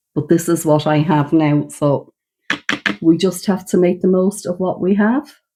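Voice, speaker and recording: A woman's fairly low voice with an Irish accent. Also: ordinary pitch variation, moderate pace. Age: 60s. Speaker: beauty vlogger. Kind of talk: makeup get-ready-with-me demonstration. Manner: casual, conversational.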